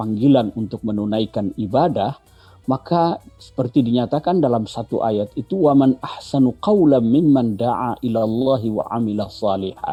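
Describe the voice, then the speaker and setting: Music plays in the background as a man talks. His pitch is medium and his pace moderate. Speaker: Islamic cleric. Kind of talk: religious commentary in studio interview.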